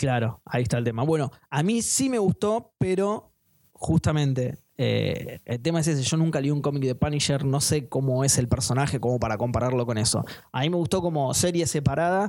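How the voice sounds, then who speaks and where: Delivered in a Rioplatense accent, the speech has lively intonation, a moderate pace and very even loudness. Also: man, fairly high pitch for a man. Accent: Argentine Rioplatense Spanish. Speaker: podcast host. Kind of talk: casual chat.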